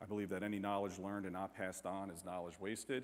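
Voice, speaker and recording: In an American accent, a man speaks. His pitch is fairly low. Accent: New York accent with slight southern touches. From New York. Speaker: firefighter and bereaved father speaking on domestic abuse. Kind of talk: conference talk. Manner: casual, with many repetitions and fillers.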